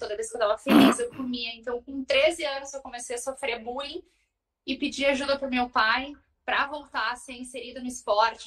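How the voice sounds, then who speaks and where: A woman's high-pitched voice at a fairly quick pace, with fairly even intonation. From southern Brazil, Porto Alegre. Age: 30s. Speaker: marathon runner. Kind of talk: podcast interview, personal story.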